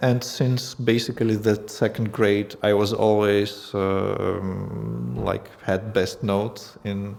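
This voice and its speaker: A man with a Russian accent, fairly low in pitch, in a monotone with flat intonation. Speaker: language school founder. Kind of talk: casual interview. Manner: halting.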